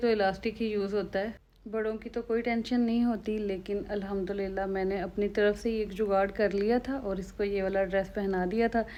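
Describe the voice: A woman's voice carries a slightly mellow tone. Her pitch moves very little.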